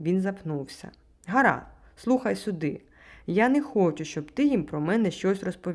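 Intonation here is lively. The delivery is an unforced reading voice.

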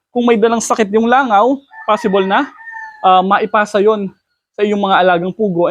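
A high-pitched man's voice at a moderate pace. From Philippines, Batangas. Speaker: quail farmer and video creator. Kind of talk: casual tutorial video.

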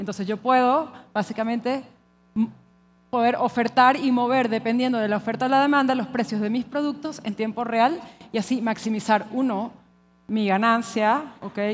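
A woman with a Venezuelan accent talks at a moderate pace, fairly high in pitch with fairly even intonation, over light background noise. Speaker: conference speaker. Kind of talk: conference talk. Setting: stage with audience. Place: hall. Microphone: headset.

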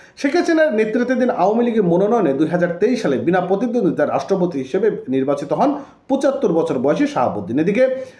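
Over audible room echo, a man's high, dark, mellow voice swings very widely in pitch while its loudness stays very even. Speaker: YouTube news commentator. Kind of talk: news commentary.

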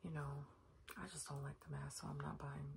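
Against noticeable background noise, a soft-spoken woman whispers at a moderate pace. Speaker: beauty vlogger. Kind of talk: casual makeup tutorial. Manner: soft, hushed ASMR whisper. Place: home room. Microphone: phone near.

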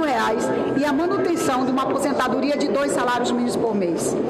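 A woman speaks at a fairly quick pace. Loud background noise runs behind her. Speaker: congresswoman. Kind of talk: interview answer. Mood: upbeat, proud of a win. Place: hall.

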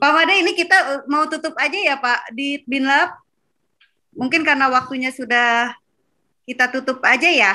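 A raised, projected voice with a bright, sharp tone, ordinary pitch variation and a moderate pace against a quiet background. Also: woman, high pitch for a woman. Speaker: moderator. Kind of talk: webinar moderation. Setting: video call. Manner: animated. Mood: cheerful, playful. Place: home room. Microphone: video call.

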